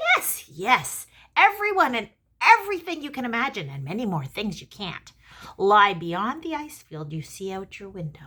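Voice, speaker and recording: A croaky, raised and projected put-on character voice with very wide pitch swings, at a moderate pace. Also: female-sounding voice, fairly high pitch for a woman. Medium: read story. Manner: impatient.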